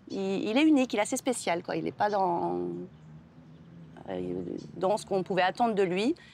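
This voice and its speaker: At a moderate pace, a woman speaks with big swings in loudness and long, frequent pauses in a very clean recording with a silent background. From Algeria then France (moved at age six). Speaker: writer. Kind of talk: TV interview. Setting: TV studio set. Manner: hesitant, with many repetitions and fillers.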